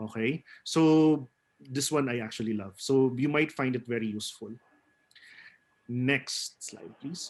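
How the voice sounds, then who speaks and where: Spoken with a Filipino accent at a fairly slow pace, the speech has ordinary pitch variation and long, frequent pauses. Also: man, medium pitch for a man. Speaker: theater actor and webinar speaker. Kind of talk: webinar presentation.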